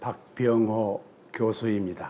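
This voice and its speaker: His pitch sits in the medium range. The man speaks at a very slow pace. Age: 90s. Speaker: retired law professor, legal historian. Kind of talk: interview. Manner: hesitant, frequent fillers.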